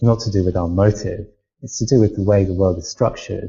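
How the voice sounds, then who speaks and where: This man's voice is fairly low in pitch and somewhat breathy. He talks at a fairly quick pace with fairly even intonation. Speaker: academic discussing identity. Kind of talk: panel discussion. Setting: live video hangout. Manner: halting.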